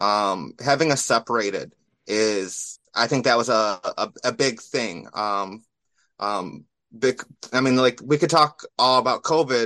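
The voice has an American accent, a bright, sharp tone and ordinary pitch variation, recorded with a dry, close sound and no echo. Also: man. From Michigan, US. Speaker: caller, event organizer. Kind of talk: call-in chat.

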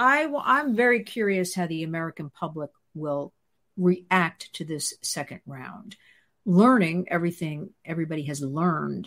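The speaker has a New Jersey accent and lively intonation at a moderate pace. The recording is very clean with a silent background. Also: woman, fairly low pitch for a woman. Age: 60s. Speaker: host's wife, children's advocate. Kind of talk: casual chat.

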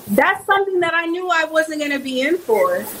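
Noticeable background noise sits behind a woman with an American accent, speaking at a moderate pace with lively intonation. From Texas, Houston. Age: 30s. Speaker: conservative activist. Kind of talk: casual chat.

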